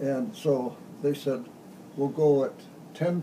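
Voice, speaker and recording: Amid noticeable background noise, a man talks at a fairly high pitch. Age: 80s+. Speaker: war veteran. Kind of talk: interview answer.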